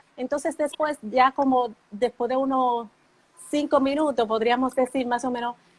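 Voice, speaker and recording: Speaking at a fairly slow pace, a woman with a high pitch keeps her intonation fairly even, and the sound is dry and close with no echo. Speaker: live stream host. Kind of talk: live interview. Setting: Instagram live video call.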